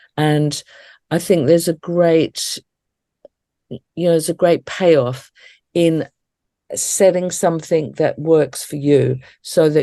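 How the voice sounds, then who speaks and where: With an Australian accent, a woman speaks in a dark, mellow tone and fairly even intonation. The background is quiet. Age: 60s. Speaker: death celebrant and educator. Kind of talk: interview conversation.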